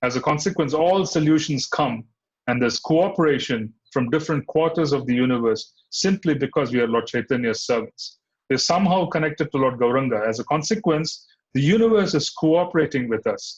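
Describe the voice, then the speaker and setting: Fairly high in pitch and somewhat breathy, a man speaks at a fairly quick pace with lively intonation and very even loudness. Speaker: spiritual teacher. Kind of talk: scripture class lecture.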